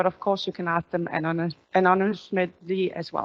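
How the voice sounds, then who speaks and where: Heard dry and close with no echo, a voice with a Danish accent shows ordinary pitch variation. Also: woman. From Denmark. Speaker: company executive. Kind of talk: corporate town hall presentation. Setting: stage with audience, also streamed.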